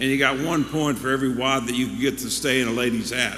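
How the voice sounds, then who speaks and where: A man at a medium pitch, fairly quick and fairly even in intonation, amid noticeable background noise and audible room echo. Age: 70s. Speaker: pastor. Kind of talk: sermon. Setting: church.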